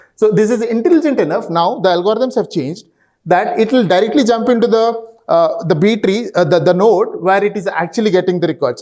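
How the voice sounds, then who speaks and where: Ordinary pitch variation comes through at a fairly quick pace. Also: man. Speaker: database consultant. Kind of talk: conference talk. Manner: fast; halting, many fillers.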